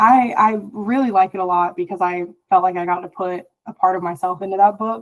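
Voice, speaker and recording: At a fairly quick pace, a woman talks at a medium pitch with ordinary pitch variation and big swings in loudness. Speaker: author. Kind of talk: interview.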